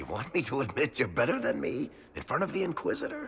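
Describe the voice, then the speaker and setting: A man's put-on character voice, high-pitched and at a very fast pace. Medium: video game. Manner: wry, dry.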